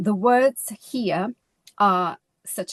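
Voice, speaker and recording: A woman with a Portuguese accent and medium pitch speaks over a quiet background, the sound dry and close with no echo. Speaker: lecturer. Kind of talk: conference presentation. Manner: halting, with self-corrections.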